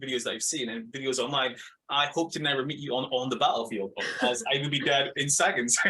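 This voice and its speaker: A man's fairly high, bright, sharp voice with a Scottish accent. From Scotland. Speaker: podcast host. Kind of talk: interview.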